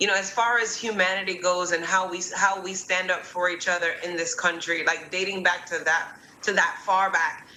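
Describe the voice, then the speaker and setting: Over noticeable background noise and audible room echo, a woman at medium pitch speaks at a moderate pace in a monotone, flat intonation, with hardly any pauses. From Jamaica, Kingston. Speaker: guest speaker on racial equality. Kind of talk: panel discussion. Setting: live stream.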